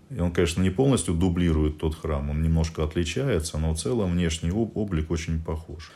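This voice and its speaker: A man's very deep, low voice, dark and mellow in tone, with ordinary pitch variation, on a very clean recording with a silent background. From Murmansk region, northern Russia. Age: 50s. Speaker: Orthodox priest. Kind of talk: interview.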